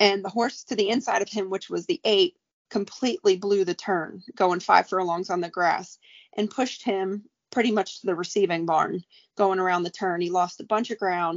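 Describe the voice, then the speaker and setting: In an American accent, a woman with a plain, everyday voice speaks at a fairly quick pace, her medium pitch held in fairly even intonation. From New York, Staten Island. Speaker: racehorse trainer. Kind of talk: casual chat.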